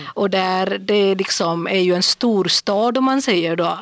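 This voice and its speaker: Noticeable background noise sits under a woman talking fairly slowly. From India. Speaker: podcast guest, day-activity worker. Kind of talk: casual chat.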